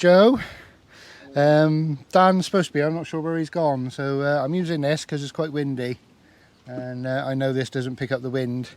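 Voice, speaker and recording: A man with an English accent speaks at a moderate pace, his fairly high voice showing ordinary pitch variation. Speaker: campervan vlogger. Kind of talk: casual vlog. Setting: outdoors at campsite field.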